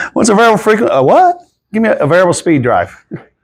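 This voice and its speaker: A Southern US accent marks this man's speech. He talks very fast. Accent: Southern US, noticeable. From South Carolina. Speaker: drive sales engineer, Navy veteran. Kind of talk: technical presentation. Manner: casual, conversational.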